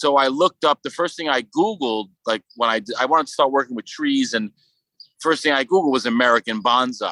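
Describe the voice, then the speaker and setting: A man's medium-pitched voice with a Brooklyn accent, bright and sharp in tone, with ordinary pitch variation and a dry, close sound with no echo. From Brooklyn, New York. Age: 30s. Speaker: sculptor. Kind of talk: casual interview.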